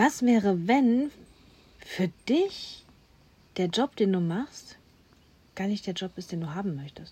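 A woman speaks at a very slow pace with long, frequent pauses. Her loudness swings widely. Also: medium pitch for a woman, lively intonation. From Germany, Duisburg (Ruhr area). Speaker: podcast host, coach. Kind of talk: casual chat.

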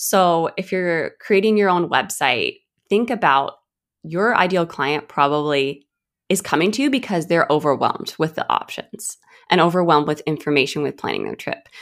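In a very clean recording with a silent background, a woman with an American accent speaks at a moderate pace in a fairly low voice with lively intonation. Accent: American, slightly shifting toward Australian. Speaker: design agency owner. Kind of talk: casual interview.

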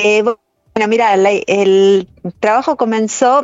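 A woman talks at a fairly slow pace with medium pitch. It is an ordinary speaking voice. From Argentina, Rosario. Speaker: dance director. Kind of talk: casual interview.

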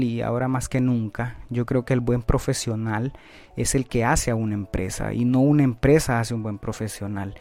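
A man's dark, mellow tone at a medium pitch, moderate in pace with fairly even intonation, in a very clean recording with a silent background. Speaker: finance podcast host. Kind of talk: educational monologue. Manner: hesitant, many filler sounds.

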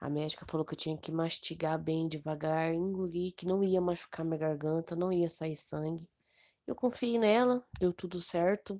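Her voice is fairly low in pitch with a dark, mellow tone and ordinary pitch variation. The woman talks at a moderate pace. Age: 30s. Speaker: thyroid cancer patient. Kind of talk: personal testimony.

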